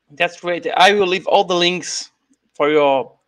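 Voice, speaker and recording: Bright, sharp male voice with a Brazilian accent, ordinary pitch variation and a quiet background. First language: Portuguese. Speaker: YouTube channel host and ufologist. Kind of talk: interview. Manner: halting, frequent hesitations and repeats.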